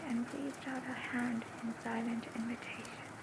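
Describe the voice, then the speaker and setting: A soft-spoken woman talks at a fairly slow pace in a calm tone and a high pitch. Noticeable background noise runs behind her. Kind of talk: ASMR book reading. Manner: soft-spoken, calm.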